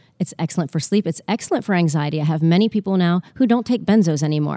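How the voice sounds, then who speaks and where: A woman speaks at a very fast pace in a dark, mellow tone, fairly low with ordinary pitch variation. The recording is very clean with a silent background and a dry, close sound with no echo. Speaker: hypnotherapist. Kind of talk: casual interview chat. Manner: fast talker.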